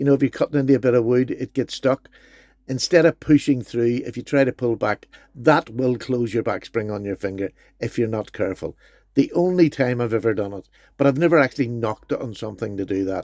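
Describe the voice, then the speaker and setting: In a Northern Irish accent, a man speaks at medium pitch with an enthusiastic tone and ordinary pitch variation. The recording is very clean with a silent background and a dry, close sound with no echo. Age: 60s. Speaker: knife collector YouTuber. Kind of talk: product review.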